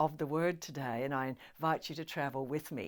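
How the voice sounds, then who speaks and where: Talking fairly quickly, a woman speaks with an Australian accent. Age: 70s. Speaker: motivational speaker and voiceover artist. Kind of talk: webinar talk. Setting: home lounge room, filmed video. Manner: animated.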